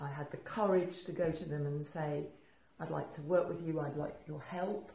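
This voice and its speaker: A woman with an English accent speaks in a very deep, low voice with fairly even intonation. The room echo is audible, and background noise is noticeable. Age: 60s. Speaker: entrepreneur. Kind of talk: casual chat. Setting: studio. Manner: halting.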